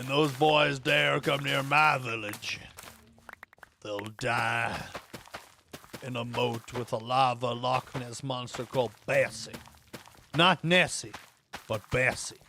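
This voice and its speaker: Using a put-on character voice with a Southern accent, a man speaks raspily at a medium pitch and a fairly slow pace, with long, frequent pauses. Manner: threatening, exaggerated.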